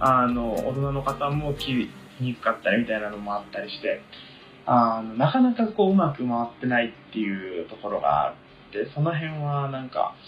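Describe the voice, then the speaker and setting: A man with lively intonation and big swings in loudness, music in the background. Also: medium pitch for a man, moderate pace. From Tokyo. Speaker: university student. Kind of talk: casual chat.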